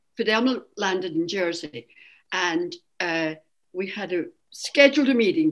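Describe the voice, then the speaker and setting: A woman in a Scottish accent talks with very wide pitch swings. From Scotland. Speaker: Irish dance teacher, association founding member. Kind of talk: oral history interview.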